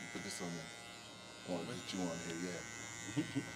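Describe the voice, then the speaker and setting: A man is speaking. Room echo can be heard. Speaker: interviewer. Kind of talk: casual chat. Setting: barbershop. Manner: loud.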